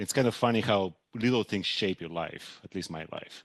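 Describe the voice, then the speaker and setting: A man speaks at a moderate pace with fairly low pitch and ordinary pitch variation. The sound is dry and close with no echo, against a quiet background. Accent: Bulgarian. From Bulgaria. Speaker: hedge fund manager. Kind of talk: podcast interview.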